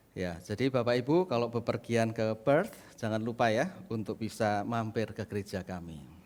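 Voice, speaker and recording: A man with a Central Javanese accent speaks at medium pitch and a moderate pace, with ordinary pitch variation. The recording is very clean, with a silent background. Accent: Central Javanese accent, unchanged. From Indonesia, Central Java. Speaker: pastor. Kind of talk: sermon. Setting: church.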